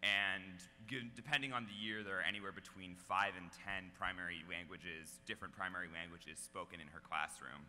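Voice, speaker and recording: Over music in the background, a man with a very deep, low voice talks at a fairly quick pace. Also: ordinary pitch variation, hardly any pauses, big swings in loudness. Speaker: slam poet. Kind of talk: casual introduction to an audience.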